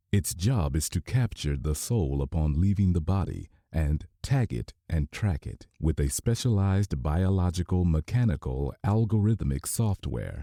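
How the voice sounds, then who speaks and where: A man's very deep, low voice in a dark, mellow tone, fairly slow with hardly any pauses and lively intonation, dry and close with no echo on a very clean recording with a silent background. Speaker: audiobook narrator. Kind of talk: audiobook narration. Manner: dramatic, old-radio style narration.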